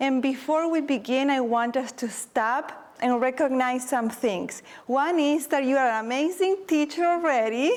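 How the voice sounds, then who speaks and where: A woman's high-pitched voice with a warm tone, a non-native accent and ordinary pitch variation. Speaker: teacher and presenter. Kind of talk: conference workshop presentation. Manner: moderately paced, deliberately not too fast; warm, encouraging.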